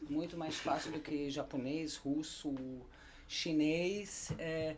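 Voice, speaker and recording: A woman with a German accent speaks very slowly at a very deep, low pitch, her intonation monotone and flat, with audible room echo. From Germany. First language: German (speaking Portuguese). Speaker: German teacher. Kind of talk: casual chat.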